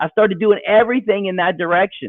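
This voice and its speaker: A man speaks at a fairly quick pace. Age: 60s. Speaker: photographer turned novelist. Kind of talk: interview storytelling. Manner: halting, many repetitions.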